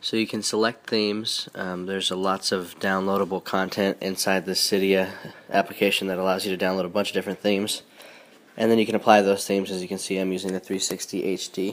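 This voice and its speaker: A man at a very fast pace, with a fairly low pitch and monotone, flat intonation. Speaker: tech YouTuber. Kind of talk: tutorial.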